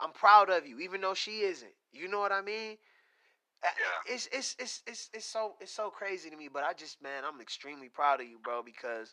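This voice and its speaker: Raising and projecting his voice, a man speaks at a moderate pace in a high, bright, sharp tone. His pitch swings very widely and his loudness shifts in big swings. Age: 30s. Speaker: podcast host. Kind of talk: casual interview. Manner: animated.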